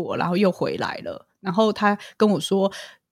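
With ordinary pitch variation, a woman speaks at medium pitch and a moderate pace. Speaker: clinical psychologist and podcaster. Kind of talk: casual interview chat.

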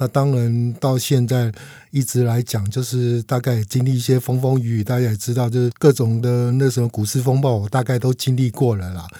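At a moderate pace, a man speaks in a dark, mellow tone at medium pitch with fairly even intonation, on a very clean recording with a silent background. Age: 50s. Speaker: veteran stock investor. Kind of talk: casual interview chat.

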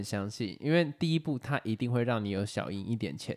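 A man with a Taiwanese accent speaks with lively intonation on a very clean recording with a silent background. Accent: Taiwanese Mandarin. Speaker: podcast co-host. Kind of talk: casual chat.

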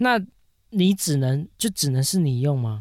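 A normal speaking voice with lively intonation at a fairly slow pace, on a very clean recording with a silent background. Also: man. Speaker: podcast co-host. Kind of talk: casual chat.

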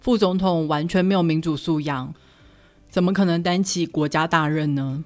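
A woman speaks with a Taiwanese accent and ordinary pitch variation. The recording is very clean, with a silent background. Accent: Taiwanese Mandarin. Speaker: podcast host, book reviewer. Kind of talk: book review narration. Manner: animated.

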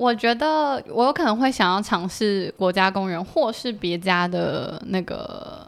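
The speech moves at a very slow pace with hardly any pauses. Its intonation is lively. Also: woman, fairly high pitch for a woman. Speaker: former work-and-travel participant. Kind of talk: casual interview chat.

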